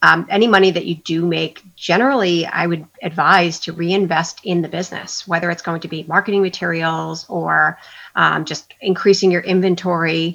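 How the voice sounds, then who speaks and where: This woman has a plain, everyday voice with an American accent. Her pitch is fairly low and her pace moderate. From Long Island, New York. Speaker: small business co-founder. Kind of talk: casual interview.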